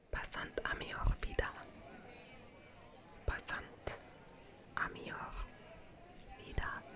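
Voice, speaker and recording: A woman whispers at a very slow pace, leaving long, frequent pauses amid noticeable background noise. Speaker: ASMR creator. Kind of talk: ASMR whispered tour narration. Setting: outdoors. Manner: whispered.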